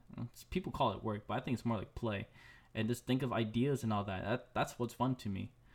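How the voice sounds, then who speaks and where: At a medium pitch, this man's ordinary speaking voice carries fairly even intonation. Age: 20s. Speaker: podcast host, designer. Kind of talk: solo casual podcast talk.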